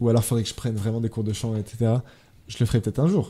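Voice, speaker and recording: A man's medium-pitched voice, dark and mellow in tone, with fairly even intonation. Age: 20s. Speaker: music producer and composer. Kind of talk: radio interview. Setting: radio studio. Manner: hesitant, many fillers.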